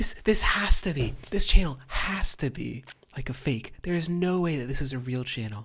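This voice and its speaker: A quiet woman speaks at a very deep, low pitch, with lively intonation and big swings in loudness. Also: moderate pace. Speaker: political commentary streamer. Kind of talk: reaction commentary. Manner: quiet, hushed.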